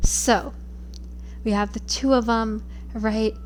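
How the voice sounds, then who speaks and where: A woman's voice over noticeable background noise. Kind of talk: casual rambling monologue. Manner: halting, stuttering.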